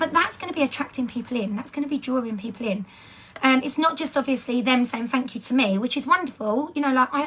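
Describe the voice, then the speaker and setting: A woman with an English accent speaks at a very fast pace and a high pitch, with noticeable background noise. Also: ordinary pitch variation. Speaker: direct sales team leader. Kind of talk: training talk. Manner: animated.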